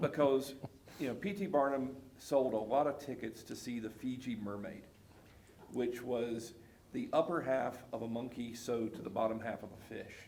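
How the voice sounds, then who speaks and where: A man with a Southern US accent talks at a moderate pace, his loudness swinging widely. The room echo is audible. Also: medium pitch for a man, ordinary pitch variation. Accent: Southern US (Georgia). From US South, South Georgia. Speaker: pastor. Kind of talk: casual chat.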